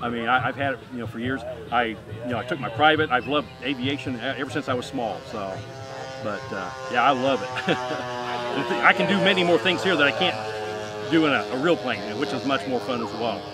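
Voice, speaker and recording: A man's medium-pitched voice comes through while music plays behind him. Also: ordinary pitch variation, fairly quick pace. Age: 60s. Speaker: hobby pilot and flight instructor. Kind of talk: casual interview.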